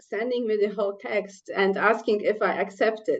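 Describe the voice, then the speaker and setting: A woman speaks with a Polish accent at a fairly high pitch. Her pace is moderate and her intonation monotone and flat. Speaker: scientist and author. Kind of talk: panel discussion. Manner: halting.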